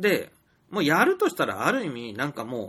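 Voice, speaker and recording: A man with a fairly high pitch talks with vocal fry. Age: 40s. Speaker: storyteller and indie game developer. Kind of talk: solo monologue podcast. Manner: hesitant, many fillers.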